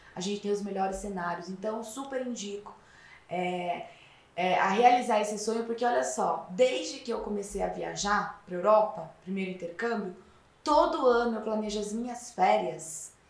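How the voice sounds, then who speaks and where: A woman speaks at a moderate pace with noticeable background noise and audible room echo. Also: medium pitch for a woman, ordinary pitch variation. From interior of São Paulo state (Piracicaba). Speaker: fashion consultant and lecturer. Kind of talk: casual interview.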